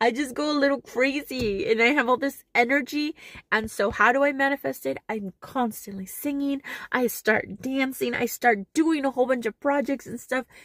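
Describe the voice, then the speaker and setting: A woman's high-pitched voice at a moderate pace, with ordinary pitch variation and a dry, close sound free of echo. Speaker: spiritual vlogger. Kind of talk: personal video diary.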